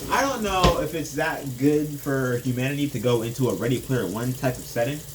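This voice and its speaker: Fairly quick speech with ordinary pitch variation and noticeable background noise. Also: man, medium pitch for a man. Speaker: vlogger. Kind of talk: casual monologue. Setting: at home doing dishes.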